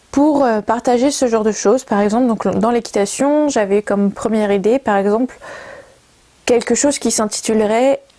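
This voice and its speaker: Amid noticeable background noise, a woman talks at a moderate pace with a fairly high pitch, fairly even intonation and very even loudness. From Brittany, France. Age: 20s. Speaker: communication student and video maker. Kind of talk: project presentation to camera. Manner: hesitant, many fillers.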